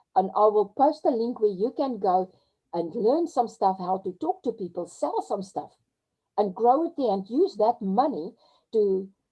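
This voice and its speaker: A woman with a South African accent has a dark, mellow tone. Her fairly high voice makes very wide pitch swings. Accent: Afrikaans South African English. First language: Afrikaans. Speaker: crypto webinar presenter. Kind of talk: webinar talk. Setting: video call. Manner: halting; animated.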